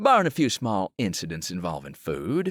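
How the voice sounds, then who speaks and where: A man puts on a character voice, fairly low in pitch with very wide pitch swings. His moderate pace comes through in a dry, close sound with no echo. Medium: read story. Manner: easygoing, mildly wry.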